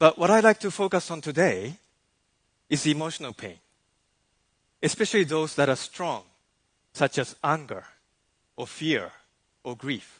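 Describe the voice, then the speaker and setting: A man with a Japanese accent at a fairly high pitch, with vocal fry, lively intonation, big swings in loudness, long, frequent pauses and a quiet background. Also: moderate pace. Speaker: life coach. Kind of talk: keynote talk. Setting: stage with audience.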